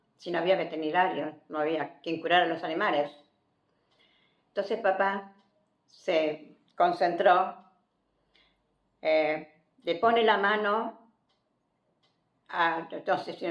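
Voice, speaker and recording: A woman speaks at a very slow pace, fairly low in pitch. Her intonation is fairly even, with long, frequent pauses. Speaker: grandmother sharing life stories. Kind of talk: family storytelling.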